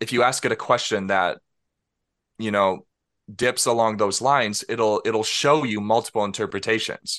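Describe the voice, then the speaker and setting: With an unremarkable speaking voice, a man talks at a moderate pace, medium in pitch and fairly even in intonation, over a quiet background. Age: 20s. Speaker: software developer. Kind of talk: interview.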